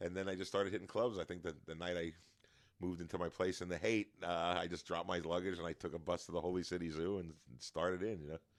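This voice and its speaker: A man's very deep, low voice at a very fast pace, with a New York accent, on a very clean recording with a silent background. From New York, Long Island. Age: 60s. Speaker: stand-up comedian. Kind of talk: casual chat.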